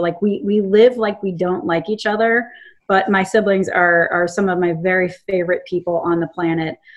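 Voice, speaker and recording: Using a plain, everyday voice, a woman with an American accent speaks at a fairly quick pace in a medium pitch with fairly even intonation. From Charlottesville, Virginia. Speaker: tech company CEO. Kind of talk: interview. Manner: casual, frequent laughter.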